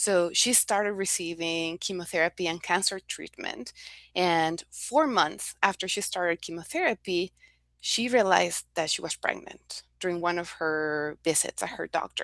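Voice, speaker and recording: A woman speaks at a moderate pace with a non-native accent. The background is quiet. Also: fairly low pitch for a woman, ordinary pitch variation. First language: not English. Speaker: nonprofit health program staff. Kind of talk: testimony.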